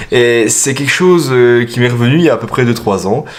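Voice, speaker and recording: Noticeable background noise runs under a man's voice. He talks at a medium pitch and a moderate pace, with lively intonation. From eastern France, Franche-Comté. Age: 20s. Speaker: self-published author and machinist. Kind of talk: interview answering read-out questions. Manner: casual, hesitant with fillers.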